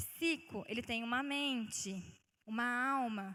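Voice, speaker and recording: The voice has a bright, sharp tone and ordinary pitch variation, moving at a fairly slow pace. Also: woman. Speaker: guest preacher. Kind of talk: sermon. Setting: church.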